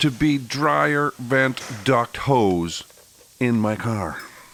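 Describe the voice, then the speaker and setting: A man's pitch rises and falls very widely as noticeable noise sounds in the background. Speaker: car restoration YouTuber, tire shop owner. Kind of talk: casual vlog narration.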